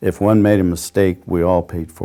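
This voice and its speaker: Moderately paced and monotone, a man with an American accent speaks in a very deep, low pitch with a dark, mellow tone. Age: 60s. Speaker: war veteran. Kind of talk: oral history interview. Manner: halting, many fillers.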